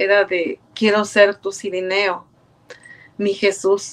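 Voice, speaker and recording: In a Mexican accent, a woman speaks at a very slow pace. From Mexico, Puebla. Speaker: churchgoer, choir member. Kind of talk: testimony. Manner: halting. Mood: warm, grateful, reflective. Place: home room. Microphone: webcam.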